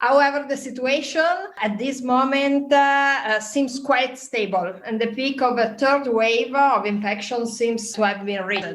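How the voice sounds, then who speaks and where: A woman with an Italian accent, high-pitched, fairly slow, hardly any pauses, audible room echo and noticeable background noise. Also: ordinary pitch variation. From northern Italy, Trento. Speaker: wine journalist. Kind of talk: interview. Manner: halting.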